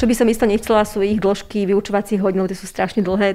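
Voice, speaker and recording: A woman's dark, mellow tone with monotone, flat intonation on a very clean recording with a silent background. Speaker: teacher and deputy head. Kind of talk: interview.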